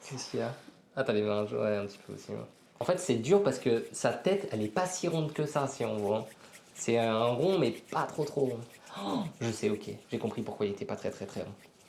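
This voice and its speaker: A man speaks fairly quickly at a medium pitch. His tone is animated and his intonation lively. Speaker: youtuber. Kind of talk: casual chat.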